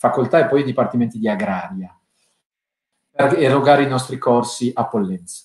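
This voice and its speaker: Moderate pace and lively intonation in a man's plain, everyday voice. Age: 40s. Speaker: law professor and winemaker. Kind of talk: interview.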